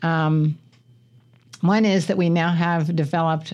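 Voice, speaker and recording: Speaking at a moderate speed, a woman talks in an American accent. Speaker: college president. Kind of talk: radio interview. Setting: radio studio.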